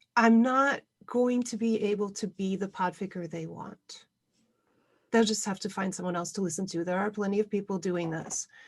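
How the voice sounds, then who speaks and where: Against a quiet background, a woman speaks at a moderate pace and medium pitch, her somewhat breathy voice keeping a fairly even intonation. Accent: American. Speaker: podfic reader, convention panel host. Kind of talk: panel discussion.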